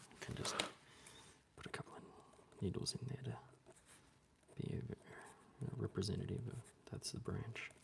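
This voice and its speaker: Whispering, a man keeps to a moderate pace. Long pauses break up his words often. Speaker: bonsai artist and vlogger. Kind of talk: casual live-stream tutorial while drawing. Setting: live stream. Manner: hesitant, filler-heavy.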